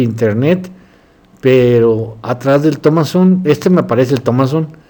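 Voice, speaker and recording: This man has a fairly high pitch and ordinary pitch variation. He talks at a very slow pace. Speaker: doctor and philosophy lecturer. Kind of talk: lecture. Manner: halting.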